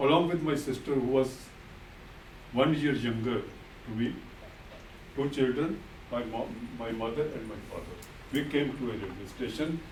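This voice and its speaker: A man at a moderate pace, with long, frequent pauses, ordinary pitch variation and audible room echo. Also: medium pitch for a man. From Punjab, near Lahore (Pakistan), raised in Indian Punjab. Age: 60s. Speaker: war-era migration witness. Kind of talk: testimony. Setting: university classroom.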